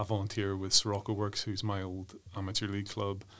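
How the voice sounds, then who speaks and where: With a Northern Irish accent, a man talks at a fairly quick pace. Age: 40s. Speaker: human rights commission worker, former football development director. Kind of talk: interview. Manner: hesitant, many fillers.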